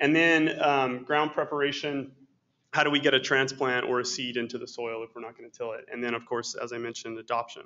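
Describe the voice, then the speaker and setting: A man with an unremarkable speaking voice talks at a fairly quick pace and medium pitch. His intonation stays fairly even while his loudness swings a lot. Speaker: soil scientist. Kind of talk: lecture. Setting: stage with audience.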